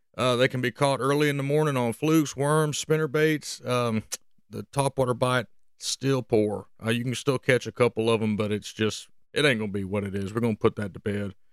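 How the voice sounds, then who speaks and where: The speaker has a Southern US accent, talks at a fairly quick pace with ordinary pitch variation, and sounds dry and close, with no echo. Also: man, medium pitch for a man. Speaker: fishing podcast host. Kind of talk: casual podcast monologue, fishing report. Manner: casual, many filler words.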